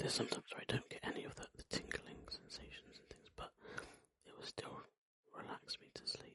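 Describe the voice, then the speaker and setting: Someone whispers at a fairly quick pace. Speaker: ASMR creator. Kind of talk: ASMR whispered ramble chat. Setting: close microphone. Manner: whispered; rambling, relaxed.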